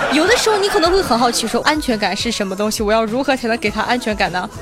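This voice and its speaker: Amid crowd noise and audible room echo, a woman with a fairly high pitch talks at a very fast pace in an animated, playful tone, her pitch swinging very widely. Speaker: online radio host running weekly group chat. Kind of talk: casual live chat answering listener questions. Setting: QQ group voice chat.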